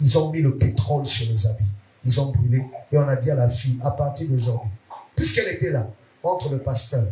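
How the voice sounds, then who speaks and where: This man's voice has a dark, mellow tone and is somewhat breathy. His pitch is medium with ordinary variation, and his pace is moderate. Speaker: pastor. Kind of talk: sermon. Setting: church.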